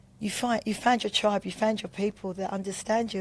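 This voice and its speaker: A woman speaks with a Cockney accent. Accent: London Cockney. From Bermondsey, London. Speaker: recovering addict. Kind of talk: testimony.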